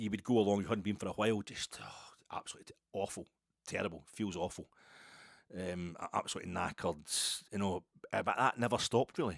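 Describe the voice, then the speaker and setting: A man with a west coast Scottish accent talks at a very fast pace, his pitch fairly low with ordinary variation. The sound is dry and close with no echo, in a very clean recording with a silent background. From Scotland, Ayrshire. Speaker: podcast host. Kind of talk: casual monologue. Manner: slurred, mumbly.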